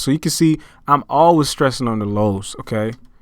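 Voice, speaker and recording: The recording is very clean, with a silent background. A man talks at a moderate pace with ordinary pitch variation. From outside the United States. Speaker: music producer. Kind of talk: tutorial. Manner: halting.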